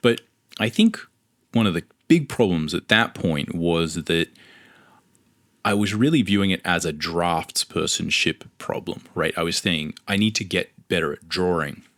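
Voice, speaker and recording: A man with an Australian accent speaks at a very deep, low pitch and a fairly slow pace, with ordinary pitch variation, long, frequent pauses, and a dry, close sound with no echo. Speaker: comic book artist. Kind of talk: podcast monologue.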